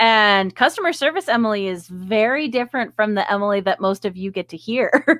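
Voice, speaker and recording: A woman speaks at a fairly quick pace and a fairly high pitch, hardly pausing. The recording is very clean and dry, close with no echo, and the background is silent. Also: lively intonation. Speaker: podcast co-host. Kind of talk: casual chat.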